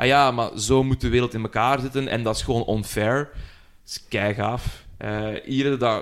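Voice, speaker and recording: With an ordinary speaking voice, a man talks fairly slowly at a medium pitch, with fairly even intonation and hardly any pauses. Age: 30s. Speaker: podcast host. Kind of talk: casual chat.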